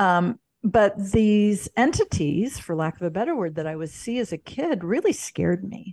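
A woman with an American accent has an ordinary speaking voice, medium in pitch with lively intonation, at a moderate pace with hardly any pauses. The sound is dry and close with no echo, over a quiet background. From US Midwest, St. Louis, Missouri. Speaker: spiritual mentor and yoga instructor. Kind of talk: interview.

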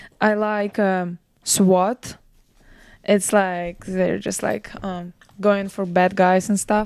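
A woman with a non-native accent, medium pitch, monotone flat intonation, and a very slow pace. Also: very clean recording, silent background. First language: not English. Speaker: professional soccer player. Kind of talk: casual chat.

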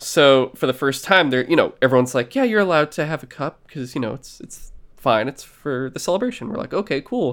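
With a normal speaking voice, a man talks at a fairly quick pace with hardly any pauses, a fairly high pitch, lively intonation and big swings in loudness, on a very clean recording with a silent background. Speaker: podcast host. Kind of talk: casual chat.

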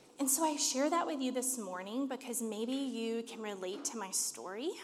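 There is audible room echo around the speaker. A woman talks at a high pitch and a moderate pace. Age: 30s. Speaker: church leader preaching. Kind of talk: sermon.

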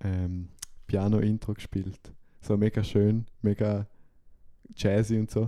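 A man's fairly low, dark, mellow voice in a monotone, flat delivery at a very slow pace, on a very clean recording with a silent background. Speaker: podcast co-host. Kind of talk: casual chat.

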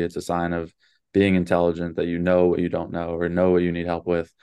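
In an American accent, a man speaks at a very fast pace. His very deep, low voice stays monotone, with flat intonation. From Dallas, Texas. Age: 20s. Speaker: basketball coach. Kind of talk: interview.

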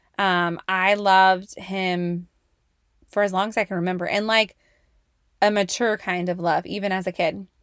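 In a very clean recording with a silent background, a woman with an American accent speaks at a moderate pace and medium pitch, her intonation monotone and flat, with long, frequent pauses. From California, Bay Area. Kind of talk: casual faith talk to listeners.

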